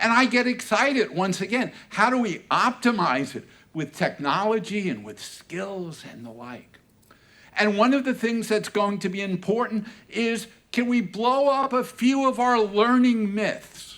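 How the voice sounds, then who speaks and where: A man speaks in an animated tone at a fairly slow pace, his pitch high with ordinary variation. His loudness swings widely. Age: 70s. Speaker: learning industry analyst and speaker. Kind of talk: conference closing keynote. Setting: stage with audience.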